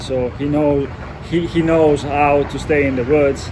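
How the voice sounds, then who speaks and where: Amid noticeable background noise and audible room echo, a man with an Italian accent speaks at a moderate pace in a fairly high, monotone voice with flat intonation. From Italy. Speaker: knife designer and outdoor photographer. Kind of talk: casual interview. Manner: halting, many fillers and restarts.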